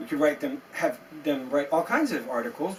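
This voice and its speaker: A man with an American accent speaks at a moderate pace, his pitch swinging very widely, over noticeable background noise. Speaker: SEO agency founder. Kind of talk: tutorial. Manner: animated.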